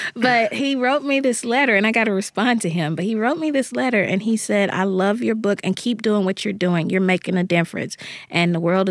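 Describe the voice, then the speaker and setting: A woman with a normal speaking voice talks at a fairly quick pace in a medium pitch, her intonation lively and her loudness very even. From US South, Jackson, Mississippi. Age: 30s. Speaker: young adult novelist. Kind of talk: interview.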